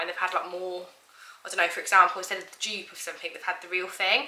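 A woman's voice with audible room echo. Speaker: mum vlogger. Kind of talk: casual vlog chat. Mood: cheerful, chatty. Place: kitchen. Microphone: camera far.

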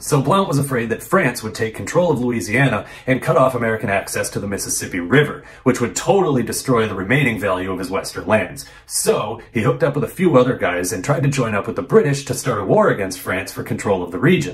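A man at a very fast pace with very wide pitch swings. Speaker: history video host. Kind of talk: commentary. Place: home room.

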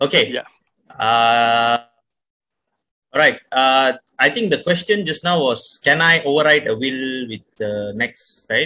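A man's medium-pitched, bright and sharp voice at a very slow pace, with long, frequent pauses and lively intonation. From Malaysia. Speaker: lawyer. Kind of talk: Q&A answer. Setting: video call. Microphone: video call.

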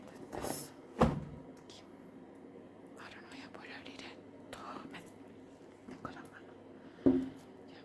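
Long pauses come often as a woman talks at a fairly slow pace. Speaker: ASMR creator. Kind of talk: ASMR soft-spoken nail painting.

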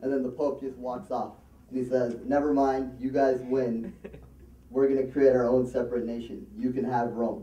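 A man talks at a moderate pace with a dark, mellow tone. His intonation is fairly even, and the room echo is audible. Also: medium pitch for a man. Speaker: amateur comedian at an open mic. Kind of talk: stand-up comedy, a long shaggy-dog joke about a debate told to a live conference crowd. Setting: stage with a live audience. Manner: loose, rambling storyteller, padding lines with um, uh and you know; plays to the crowd, pausing for laughs and throwing in asides. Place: hall.

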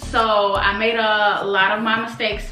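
Faint music plays behind a woman whose voice carries audible room echo. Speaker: vlogger. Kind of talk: casual storytime vlog. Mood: earnest, reflective. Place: home room.

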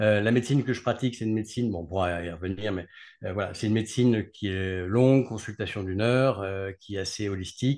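Talking at a very fast pace, a man uses ordinary pitch variation against a quiet background. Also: fairly low pitch for a man. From France, Grenoble (Alps); France. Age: 40s. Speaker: neurologist; guest. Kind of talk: interview. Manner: halting. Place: home room. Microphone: video call.

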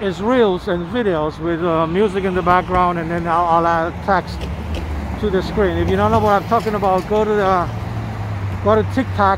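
There is no echo, and the sound is dry. Background noise is noticeable throughout. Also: moderate pace. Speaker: walking tour vlogger. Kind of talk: casual vlog commentary. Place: street. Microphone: phone near.

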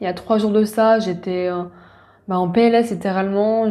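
The room echo is audible as a woman talks. Her tone is dark and mellow, her intonation flat and monotone. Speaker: podcast host, spiritual wellness coach. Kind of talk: casual personal monologue. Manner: hesitant, many fillers.

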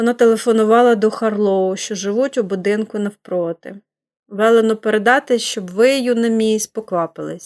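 With a quiet background, the text is read aloud in a natural voice.

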